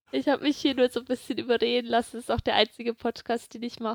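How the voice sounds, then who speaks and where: The sound is dry and close, without any echo. A woman talks at a fairly high pitch. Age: 20s. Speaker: medical student. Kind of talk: casual chat.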